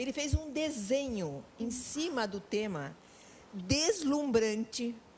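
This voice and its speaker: A woman with a high pitch talks at a very slow pace, with very wide pitch swings. Noticeable background noise is present. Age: 70s. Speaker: veteran teacher. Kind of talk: talk show interview.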